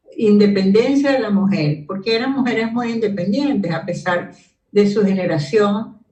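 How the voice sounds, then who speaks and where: Her speech comes at a fairly slow pace. The woman's voice carries audible room echo. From Venezuela, Caracas. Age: 70s. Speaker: sociologist. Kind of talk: interview.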